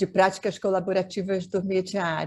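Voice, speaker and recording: A dark, mellow tone against a quiet background. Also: woman. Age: 70s. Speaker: mediator and family therapist. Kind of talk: webinar talk.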